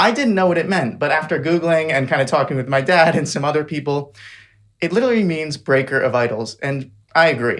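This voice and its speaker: A man's ordinary speaking voice, fairly high in pitch, at a fairly quick pace with ordinary pitch variation. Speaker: podcast host, medical student. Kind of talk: podcast intro read.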